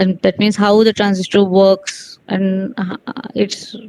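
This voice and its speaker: A woman of medium pitch, dry and close with no echo. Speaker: physics teacher. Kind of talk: online lecture. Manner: fast.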